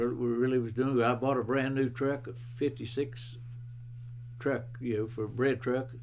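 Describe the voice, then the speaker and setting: With an American accent, a man talks at a moderate pace and medium pitch in a monotone, flat delivery, with audible room echo around him. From West Virginia. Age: 90s. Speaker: retired bread truck driver. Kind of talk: oral history interview. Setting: at his home. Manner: halting.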